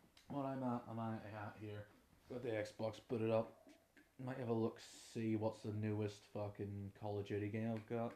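A man with a Northern Irish accent talks at a moderate pace in a relaxed, fairly low voice with monotone, flat intonation. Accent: Derry Northern Irish. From Northern Ireland, Derry. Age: 20s. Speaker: podcast host, musician and trainee music teacher. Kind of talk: casual unscripted monologue. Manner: relaxed, rambling.

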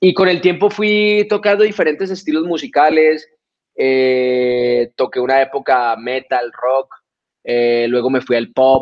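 A normal speaking voice from a man, fairly high in pitch with lively intonation. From Colombia (Florencia, Caquetá). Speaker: reggaeton singer. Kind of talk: interview.

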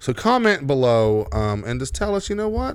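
Pitch swings very widely as a man talks on a very clean recording with a silent background. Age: 30s. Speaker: podcast co-host. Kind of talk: casual chat.

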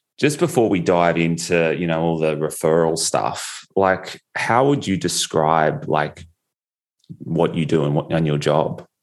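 Slowish and very deep, a man talks in an Australian accent. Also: quiet background. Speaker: podcast host. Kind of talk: podcast interview.

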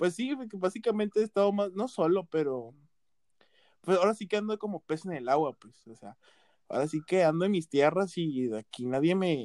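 Recorded dry and close with no echo, a high-pitched man speaks at a moderate pace with lively intonation and big swings in loudness. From Mexico, Veracruz (coast). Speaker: podcast co-host. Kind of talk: casual chat.

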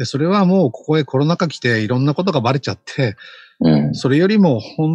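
Somewhat breathy and very fast, a man talks with lively intonation. The sound is dry and close, with no echo. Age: 50s. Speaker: social media consultant. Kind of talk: casual chat.

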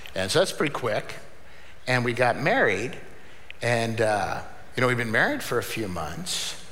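Noticeable background noise is present as a man speaks at a fairly slow pace. His pitch is medium and his intonation lively. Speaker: pastor. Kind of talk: sermon. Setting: church. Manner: loud.

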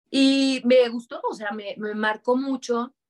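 A woman's fairly high voice, animated in tone, with ordinary pitch variation. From Mexico, Durango. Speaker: voice actor and producer. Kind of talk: interview.

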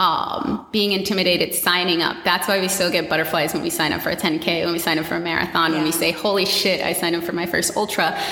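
A woman with an American accent speaks at a very fast pace and a fairly low pitch, with hardly any pauses. Noticeable background noise and audible room echo surround her. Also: fairly even intonation. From US, Washington D.C. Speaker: run coach and fitness entrepreneur. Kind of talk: casual interview chat.

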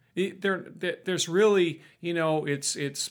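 This man has a Canadian accent and a high pitch, speaking at a fairly slow pace. The recording is very clean with a silent background. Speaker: business owner and fisherman. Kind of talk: casual interview conversation. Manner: halting, repeats words.

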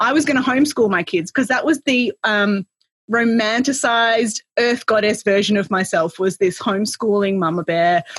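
Fairly high in pitch and somewhat breathy, a woman talks in an animated tone at a moderate pace. Her loudness is very even, and the sound is dry and close with no echo. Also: ordinary pitch variation. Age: 40s. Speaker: business consultant and author. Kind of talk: casual interview.

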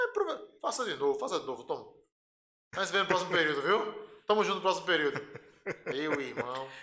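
A man talks at a fairly quick pace. He leaves long pauses often. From Pernambuco, Brazil (Recife area). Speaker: electrical engineer, transmission lines. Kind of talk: casual chat.

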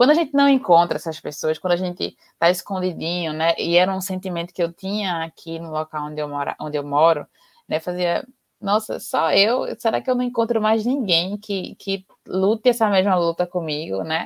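In a plain, everyday voice, the speaker uses lively intonation at a moderate pace, with a dry, close sound and no echo. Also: woman, fairly low pitch for a woman. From Recife, Pernambuco, Brazil. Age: 20s. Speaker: biologist and environmental activist. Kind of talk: interview on a live stream. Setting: online live stream.

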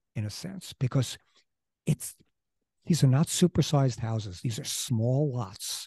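Speech comes at a fairly slow pace with long, frequent pauses and lively intonation, in a dark, mellow, somewhat breathy tone. The sound is dry and close, with no echo. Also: man, medium pitch for a man, quiet background. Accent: American. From Queens, New York City. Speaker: local history podcast co-host. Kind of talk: casual conversational history podcast. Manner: halting, many false starts and fillers.

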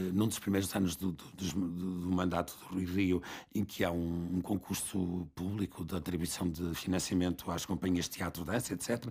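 A fairly slow pace from a man with a very deep, low pitch. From northern Portugal (Barcelos). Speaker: theatre school co-founder. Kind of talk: interview conversation.

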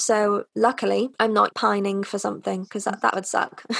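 A woman speaks with a North Welsh accent. Her pitch is fairly high. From North Wales. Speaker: vegan lifestyle influencer and English teacher. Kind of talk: casual interview chat.

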